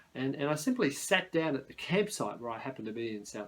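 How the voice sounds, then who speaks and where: A fairly quick delivery in an Australian accent. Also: man. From Sydney, Australia. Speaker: novelist. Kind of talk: author talk. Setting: at home, spare bedroom.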